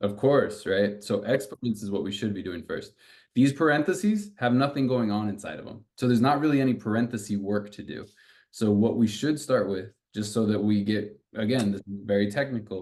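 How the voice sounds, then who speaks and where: A man's normal speaking voice, fairly low in pitch, with ordinary pitch variation and a fairly quick pace. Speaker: math tutor. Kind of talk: tutoring session. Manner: casual, encouraging.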